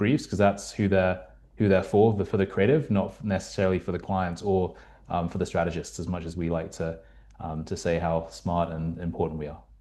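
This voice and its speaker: Speaking in a British accent, a man has a dark, mellow tone. He talks at a fairly quick pace against a quiet background. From UK. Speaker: marketing strategist. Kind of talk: panel discussion.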